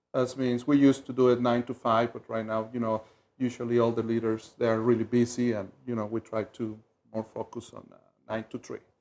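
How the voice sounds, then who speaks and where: A man with a Mexican accent talks at a fairly quick pace in a medium pitch. His intonation is monotone and flat, yet his loudness swings widely. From Mexico City, Mexico. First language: Spanish. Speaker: community leadership volunteer. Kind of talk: TV interview. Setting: TV studio.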